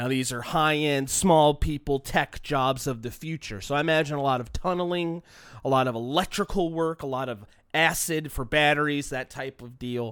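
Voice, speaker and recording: Animated in tone, a man with an American accent speaks at a moderate pace with a fairly high pitch and ordinary pitch variation. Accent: slight Chicago-like sound noted by listeners. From Southern California, Long Beach. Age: 30s. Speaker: comedian and podcast host. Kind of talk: casual solo monologue.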